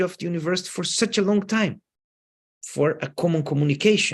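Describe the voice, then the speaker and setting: A man talks with ordinary pitch variation. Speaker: professor. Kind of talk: lecture Q&A. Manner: halting, with repeated words.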